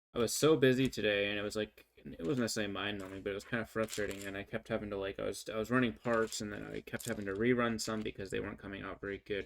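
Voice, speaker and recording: A man's very fast delivery at a fairly low pitch. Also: fairly even intonation. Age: 30s. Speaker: livestreamer and engineer. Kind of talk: casual livestream chat. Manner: halting, many fillers and restarts.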